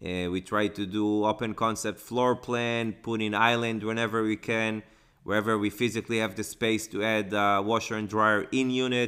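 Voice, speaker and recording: In a fairly low pitch, a man talks at a moderate pace with monotone, flat intonation and a bright, sharp tone. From Israel. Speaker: real estate investor. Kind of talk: interview.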